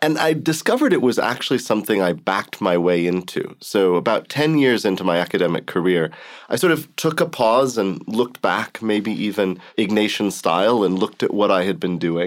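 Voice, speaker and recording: With an American accent and an unremarkable speaking voice, a man at a fairly low pitch talks at a fairly quick pace with lively intonation and very even loudness on a very clean recording with a silent background. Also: hardly any pauses. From US Southwest, Arizona. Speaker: theology professor. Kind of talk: interview.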